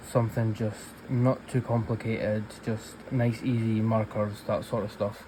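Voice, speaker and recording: Over noticeable background noise, a man with a Scottish accent speaks at a medium pitch and a fairly slow pace. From Scotland. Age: 20s. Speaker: colouring YouTuber. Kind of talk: casual chat while colouring.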